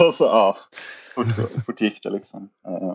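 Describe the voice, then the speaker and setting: A man's fairly low, dark and mellow voice at a fairly quick pace, with a dry, close sound and no echo. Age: 30s. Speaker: disc golf player and entrepreneur. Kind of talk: casual chat.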